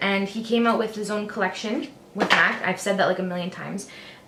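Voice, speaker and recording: A woman speaks in a Canadian accent with a fairly high pitch and an upbeat tone. Noticeable background noise can be heard. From Canada. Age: 20s. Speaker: beauty vlogger. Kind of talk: makeup tutorial talk to camera. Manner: upbeat, chatty.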